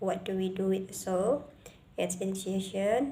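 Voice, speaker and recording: Against audible room echo, a woman with an Indonesian accent speaks in a medium-pitched, dark, mellow voice. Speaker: student presenter. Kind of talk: class presentation. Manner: halting.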